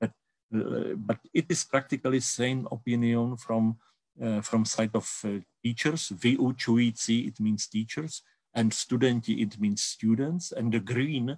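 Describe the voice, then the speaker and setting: A man's medium-pitched voice in a Czech accent, fairly slow, with a dry, close sound and no echo. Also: ordinary pitch variation. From Czech Republic. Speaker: university education researcher. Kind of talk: conference presentation. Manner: halting, many repetitions and fillers.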